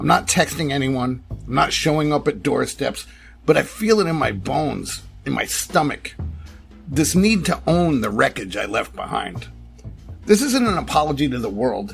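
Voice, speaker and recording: A man speaks at a moderate pace. Music plays behind him. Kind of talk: personal essay narration. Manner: quiet, reflective.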